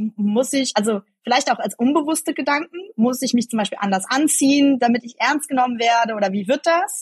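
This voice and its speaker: A woman's somewhat breathy voice moves at a moderate pace, its pitch varying in an ordinary way. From Germany, Eschweiler near Aachen (Rhineland). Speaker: politician. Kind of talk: interview.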